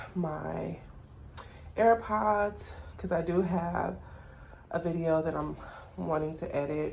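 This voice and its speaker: Very slowly, with long, frequent pauses, a woman speaks amid audible room echo. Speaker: doula vlogger. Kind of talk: casual vlog. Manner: energetic.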